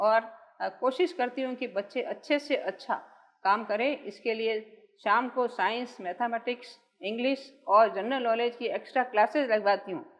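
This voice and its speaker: High pitch and ordinary pitch variation in a woman's voice. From Jodhpur, Rajasthan. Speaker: social worker, founder of a school for the blind. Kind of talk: interview answer.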